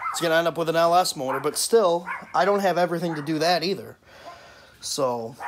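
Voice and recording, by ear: This man's voice is fairly high-pitched with ordinary pitch variation. He speaks at a moderate pace.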